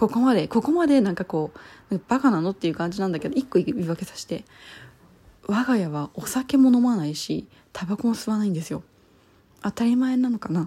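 A woman speaks fairly quickly at a fairly high pitch, her voice somewhat breathy. Her tone is dark and mellow, with very wide pitch swings. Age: 30s. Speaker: podcaster. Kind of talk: casual monologue.

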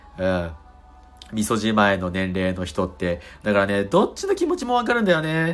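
Speech moves at a moderate pace. Music plays in the background. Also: man. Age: 20s. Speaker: solo podcast host. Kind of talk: casual solo talk.

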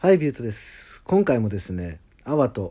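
Recorded very cleanly against a silent background, a man speaks at a moderate pace in a dark, mellow tone. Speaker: singer-songwriter. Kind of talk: casual monologue.

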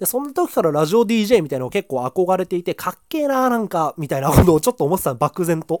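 A man with a high pitch talks at a very fast pace with hardly any pauses and very wide pitch swings, in a very clean, dry, close recording with a silent background and no echo. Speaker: podcaster reviewing manga. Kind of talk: solo casual talk.

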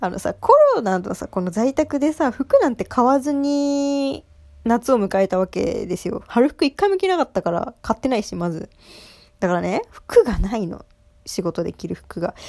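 Animated in tone, a woman speaks at a moderate pace in a high pitch with very wide pitch swings. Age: 20s. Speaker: solo podcaster, new office worker. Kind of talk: casual monologue. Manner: animated, high-energy; frequent laughter.

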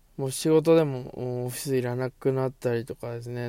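A man's dark, mellow tone at a fairly slow pace. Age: 30s. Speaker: office worker and amateur hip-hop artist hosting a solo audio show. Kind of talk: solo monologue talk. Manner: halting, many filler words.

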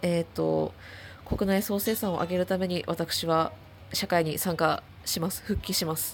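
This woman has a fairly low pitch and fairly even intonation, speaking at a moderate speed. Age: 20s. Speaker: solo podcaster. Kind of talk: casual monologue. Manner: halting, many fillers.

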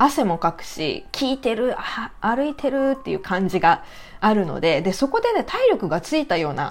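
A woman's fairly high voice at a moderate pace, with very wide pitch swings and noticeable background noise. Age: 40s. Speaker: doll maker and podcaster. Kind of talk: casual solo talk. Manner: halting, many fillers.

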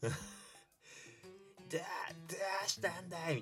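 A man's put-on character voice, high-pitched, at a moderate pace, with faint music in the background. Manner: cartoon mimicry, by their own account a very poor likeness.

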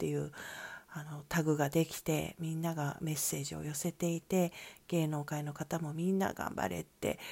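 A woman speaks in a very deep, low pitch with a dark, mellow tone and a calm tone. The recording is very clean, with a silent background. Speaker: solo podcaster. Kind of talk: solo monologue. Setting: soundproofed session room. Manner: calm, unhurried.

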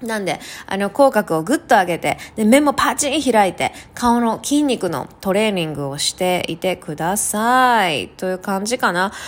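Her tone is animated, with very wide pitch swings. The woman keeps a moderate pace at a medium pitch. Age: 30s. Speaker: solo podcast host. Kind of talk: casual solo talk.

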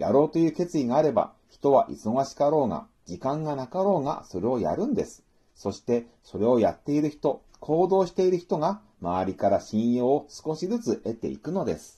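A man's fairly high, somewhat breathy voice in a dark, mellow tone, with very wide pitch swings, big shifts in loudness, hardly any pauses and a moderate pace. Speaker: book review podcaster. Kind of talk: solo book talk monologue. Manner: formal.

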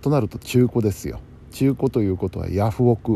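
A man talks at a moderate pace with a dark, mellow tone. His voice carries vocal fry. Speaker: podcaster and radio helper. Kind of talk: casual late-night monologue.

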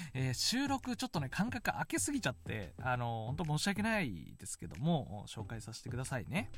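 A man talks at a moderate pace. He takes hardly any pauses. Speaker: solo podcast host. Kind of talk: casual solo talk. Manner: calm; upbeat.

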